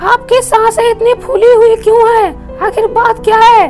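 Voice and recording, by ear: A cartoonish character voice at a moderate pace and very even loudness, with clear background noise. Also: woman, extremely high pitch for a woman.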